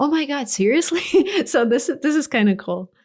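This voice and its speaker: The speaker has a Russian accent and lively intonation at a fairly quick pace. The recording is very clean, with a silent background. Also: woman. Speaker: YouTube creator. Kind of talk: interview.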